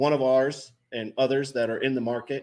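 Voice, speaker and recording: In a normal speaking voice, a man of medium pitch talks at a moderate pace on a very clean recording with a silent background. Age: 40s. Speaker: business owner, trailer manufacturer. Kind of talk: casual interview chat.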